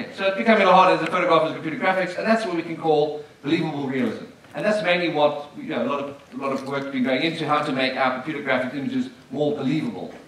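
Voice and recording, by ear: In strong room echo, a man with a fairly high pitch and fairly bright tone talks at a very fast pace with few pauses and ordinary pitch variation.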